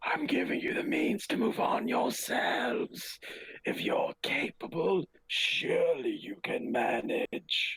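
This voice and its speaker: Raspy and extremely high-pitched, a man puts on a character voice at a fairly slow pace. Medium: actual play. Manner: formal, haughty.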